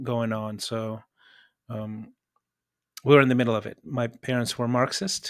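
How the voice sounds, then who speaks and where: Speech proceeds at a moderate pace. The intonation is fairly even. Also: man. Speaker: entrepreneur and former refugee. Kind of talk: interview. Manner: halting.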